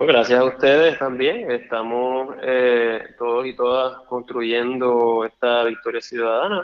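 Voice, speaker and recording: Speaking at a medium pitch, a man keeps his intonation fairly even and his pace fairly slow. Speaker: lawyer and political candidate. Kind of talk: interview. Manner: halting.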